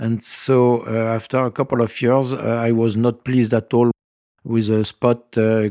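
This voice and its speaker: In a very clean recording with a silent background and a dry, close sound free of echo, the voice has a dark, mellow tone and a flat, monotone delivery at a fairly slow pace. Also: man. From France, Nice. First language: French. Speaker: retired winemaker. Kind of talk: interview. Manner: halting.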